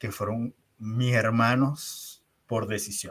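On a very clean recording with a silent background, a man speaks very slowly at a medium pitch. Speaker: leadership trainer. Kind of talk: interview.

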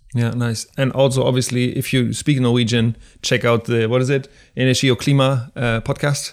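A man with a German accent speaks at a moderate pace in a medium pitch, with a monotone, flat intonation and very even loudness. The recording is very clean with a silent background. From Germany. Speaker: podcast host. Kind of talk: interview.

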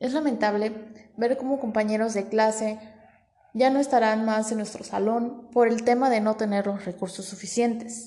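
A woman's unremarkable speaking voice sits fairly high and moves at a moderate pace, its intonation fairly even. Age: 20s. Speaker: student podcast host. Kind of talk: scripted podcast presentation. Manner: formal.

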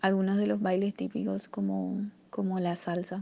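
A woman talks at a moderate pace with a slight Paraguayan accent. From Paraguay, Asunción. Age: 20s. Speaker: migrant sharing her story. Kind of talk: personal testimony interview. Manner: halting, repeats words.

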